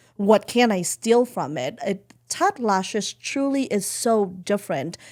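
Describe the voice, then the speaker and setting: A woman with a medium-pitched voice sounds animated, her intonation lively. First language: not English. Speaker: beauty company founder and CEO. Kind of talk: podcast interview.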